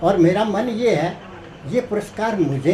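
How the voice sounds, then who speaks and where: Amid noticeable background noise and audible room echo, a man speaks with a high pitch and lively intonation. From Haryana, Rohtak area. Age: 60s. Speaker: author and blood donation activist. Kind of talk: interview.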